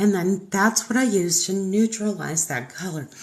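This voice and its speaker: A woman speaks in an American accent with a somewhat breathy voice. Her pitch is medium and varies in an ordinary way. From Texas, Houston area. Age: 50s. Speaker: makeup artist. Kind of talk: tutorial. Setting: livestream. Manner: casual, chatty.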